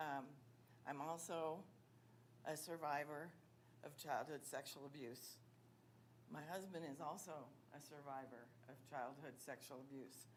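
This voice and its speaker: A woman's very deep, low voice at a fairly slow pace, with fairly even intonation, long, frequent pauses and audible room echo. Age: 60s. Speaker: public commenter, retired police officer. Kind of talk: public comment at school board meeting.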